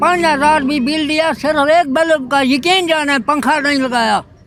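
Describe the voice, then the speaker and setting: A man talks in an extremely high pitch. Crowd noise fills the background. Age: 70s. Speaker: member of the public interviewed. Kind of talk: street interview. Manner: animated.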